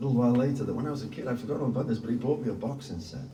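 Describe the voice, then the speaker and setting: Audible room echo and noticeable background noise surround a man who speaks at a very fast pace. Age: 60s. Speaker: singer-songwriter. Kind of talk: interview talk, storytelling. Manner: halting.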